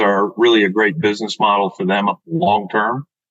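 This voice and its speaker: This is an unremarkable speaking voice. It keeps to a moderate pace. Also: man. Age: 60s. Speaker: dental practice sales broker. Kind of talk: podcast interview.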